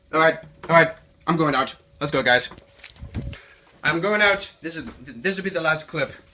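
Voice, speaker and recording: Long, frequent pauses break up the speech over noticeable background noise. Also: man, fairly high pitch for a man, ordinary pitch variation, moderate pace. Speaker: vlogger. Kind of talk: casual vlog. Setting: outdoors.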